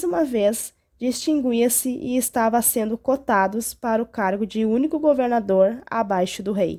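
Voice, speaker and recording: Dark and mellow in tone, a woman's fairly high voice moves at a fairly slow pace with ordinary pitch variation. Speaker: Bible teacher. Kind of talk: Bible story narration.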